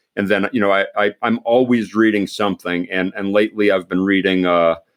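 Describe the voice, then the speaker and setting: Speaking at a moderate pace with fairly even intonation, a man has a fairly low pitch and a plain, everyday voice. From Pennsylvania. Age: 60s. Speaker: retired army general. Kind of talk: podcast interview. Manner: repetitive false starts.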